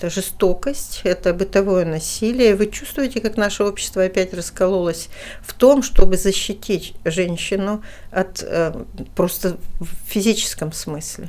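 A woman speaks at a fairly slow pace with a plain, everyday voice, medium pitch and ordinary pitch variation. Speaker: human rights official, former politician. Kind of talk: interview.

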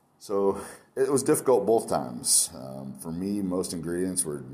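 Moderate pace with audible echo from the room. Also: man. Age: 40s. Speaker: chef and food truck owner. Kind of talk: interview.

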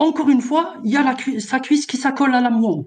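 This man's pitch is extremely high. He keeps a moderate pace. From Algeria. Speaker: caller. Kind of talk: personal story on a call-in show.

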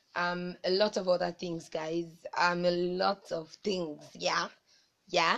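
At a moderate pace, a woman speaks in a medium pitch with a plain, everyday voice. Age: 20s. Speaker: podcaster. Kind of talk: casual monologue.

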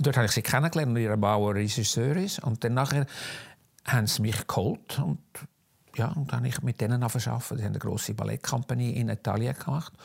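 A man speaks at a very fast pace and a medium pitch, with vocal fry and ordinary pitch variation. The recording is very clean, with a silent background. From Switzerland, Zug. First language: Swiss German (speaking German). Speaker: costume designer and fashion historian. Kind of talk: interview, life story. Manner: halting, many fillers.

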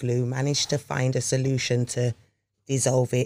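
In a dry, close recording with no echo, a man with a dark, mellow tone and a medium pitch speaks at a moderate pace. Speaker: podcast co-host. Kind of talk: casual chat.

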